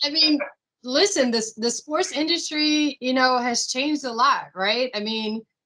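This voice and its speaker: With an American accent, this raised, projected voice has a bright, sharp tone, ordinary pitch variation and a fairly slow pace. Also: woman, high pitch for a woman. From Washington DC area (Silver Spring, Maryland). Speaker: real estate consultant, business owner. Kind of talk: interview on video call. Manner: conversational, many fillers.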